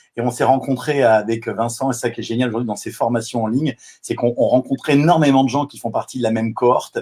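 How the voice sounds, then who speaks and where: Speaking at a very fast pace, a man has a medium pitch and a dark, mellow tone. His intonation is fairly even, though his loudness swings a lot. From southwest France. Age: 50s. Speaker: life coach. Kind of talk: live video interview. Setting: online live stream.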